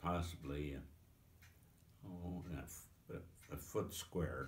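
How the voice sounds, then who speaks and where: With an American accent, a man speaks at a very slow pace in a very deep, low pitch, showing ordinary pitch variation and vocal fry. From Pennsylvania. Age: 80s+. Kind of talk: interview answer. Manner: hesitant, slow.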